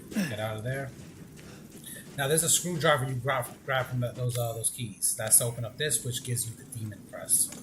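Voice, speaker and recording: A man speaks at a medium pitch and a fairly quick pace. Noticeable background noise can be heard. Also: ordinary pitch variation. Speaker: gaming streamer. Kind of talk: gameplay tutorial commentary. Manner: fast.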